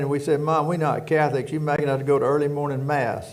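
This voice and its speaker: A man with a Louisiana accent and a fairly high pitch, in a room with audible echo. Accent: Louisiana Southern. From rural Louisiana. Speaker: prison warden. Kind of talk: casual chat.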